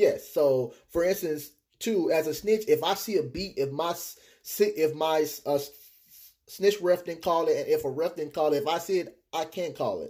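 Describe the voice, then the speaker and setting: In an American accent, a man talks at a high pitch and a moderate pace with ordinary pitch variation and a dark, mellow tone. The recording is very clean, with a silent background. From Texas. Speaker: quidditch snitch runner. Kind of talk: casual interview.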